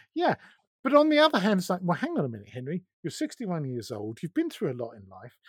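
A man with a southern English accent speaks in a fairly high pitch, with a dry, close sound with no echo on a very clean recording with a silent background. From southern England. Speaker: podcaster and magazine producer. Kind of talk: casual podcast interview.

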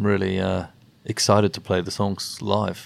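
Speaking at a moderate pace, a man with a New Zealand accent has a fairly low pitch. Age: 40s. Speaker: rock bassist. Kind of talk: casual interview chat.

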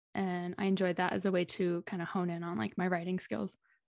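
Woman with an unremarkable speaking voice, medium pitch and ordinary pitch variation, in a quiet background. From Texas (Dallas). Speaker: podcast manager. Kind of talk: casual interview.

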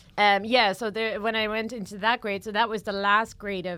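A woman with a Dutch accent talks at a fairly quick pace. Her medium-pitched voice has a bright, sharp tone. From Netherlands. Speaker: comedian. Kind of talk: casual chat. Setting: studio.

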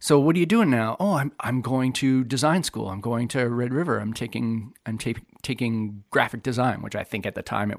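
A man with a Canadian Prairies accent, medium pitch, ordinary pitch variation, a fairly quick pace and hardly any pauses. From northern Manitoba, Canada. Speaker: graphic designer. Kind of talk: casual interview.

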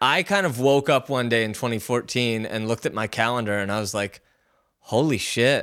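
Using an ordinary speaking voice, a man with an American accent talks at a fairly quick pace, medium pitch and ordinary pitch variation. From Philadelphia area, US. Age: 40s. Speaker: music producer. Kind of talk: casual interview.

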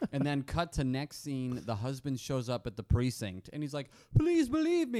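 In an unremarkable speaking voice, a man with an American accent speaks fairly quickly at a fairly high pitch. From Arizona. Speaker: comedy podcast co-host. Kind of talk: casual chat.

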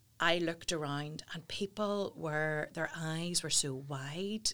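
Using an ordinary range of pitch, a woman with a Northern Irish accent talks at a fairly slow pace in a very deep, low voice. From Northern Ireland, Portadown. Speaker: talent agency founder. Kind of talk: interview. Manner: animated.

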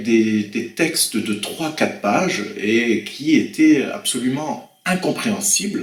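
A man at a very slow pace, with very wide pitch swings and noticeable background noise. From France, Loir-et-Cher (Blois). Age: 50s. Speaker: French language teacher. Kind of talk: interview. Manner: hesitant, with fillers and repetitions.

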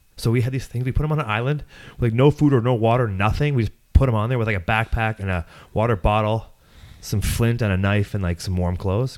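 In a very clean recording with a silent background, a man with a Canadian accent talks at a very fast pace. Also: medium pitch for a man, ordinary pitch variation. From Ontario farmland. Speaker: podcast host. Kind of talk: casual chat. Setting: home recording studio.

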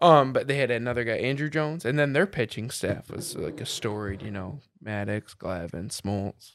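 Using a plain, everyday voice, a man with an American accent talks at a moderate pace and medium pitch with lively intonation. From Michigan. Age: 30s. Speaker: insurance agent and Navy veteran. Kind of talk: casual chat.

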